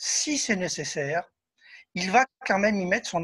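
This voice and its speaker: Against a quiet background, a man speaks at a fairly slow pace. His high voice carries lively intonation. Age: 60s. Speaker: spiritist medium and author. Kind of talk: interview. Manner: hesitant with fillers.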